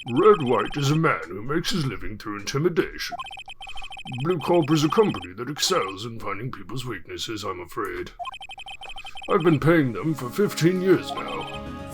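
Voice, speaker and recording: Putting on a character voice, a man talks at a moderate pace and a fairly high pitch, with big swings in loudness over clear background noise. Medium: actual play. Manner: old-fashioned, fussy, stammering.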